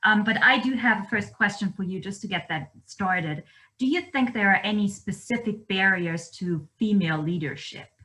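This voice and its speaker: A woman of medium pitch talks at a moderate pace with a bright, sharp tone and ordinary pitch variation. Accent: German. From Germany. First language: German. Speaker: event moderator. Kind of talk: moderating Q&A.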